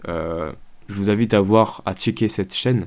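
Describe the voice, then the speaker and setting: With a fairly low pitch and ordinary pitch variation, a man speaks with vocal fry. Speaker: YouTube reactor. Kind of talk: video reaction commentary. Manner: slow, calm; halting, many fillers.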